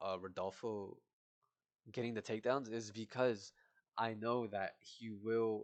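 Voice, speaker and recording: A man speaks at a medium pitch and a fairly slow pace, his intonation fairly even. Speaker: MMA prediction youtuber. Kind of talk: casual fight breakdown monologue. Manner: halting, self-correcting; casual, informal.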